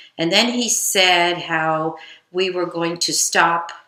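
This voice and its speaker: A woman with an American accent speaks at a very slow pace, her fairly low voice bright and sharp in tone with monotone, flat intonation. Room echo is audible. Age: 60s. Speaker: grandmother recalling history. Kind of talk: interview. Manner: conversational with hesitations.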